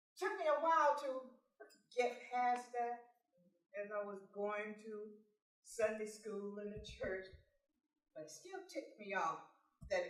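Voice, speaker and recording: With lively intonation and audible room echo, a woman talks at a fairly slow pace. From California, born in Texas. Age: 60s. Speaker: motivational speaker. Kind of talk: personal testimony speech.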